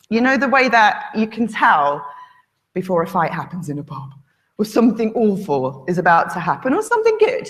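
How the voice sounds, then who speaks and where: A woman speaks with a northern English accent. Her voice is fairly high, with vocal fry. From northern England. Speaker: conference speaker. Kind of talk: conference talk. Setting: stage with audience.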